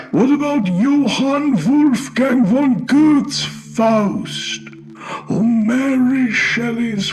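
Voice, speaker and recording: In a put-on character voice pitched extremely high, a man speaks at a very slow pace with very even loudness over clear background noise. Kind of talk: horror narration. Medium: read story. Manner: calm, measured, cryptic.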